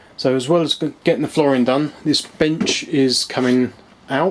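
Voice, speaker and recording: Noticeable background noise sits behind a man's fairly high voice. He speaks at a very slow pace with ordinary pitch variation. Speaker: home brewer. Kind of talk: casual talk to camera. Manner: hesitant, with fillers and some stutters.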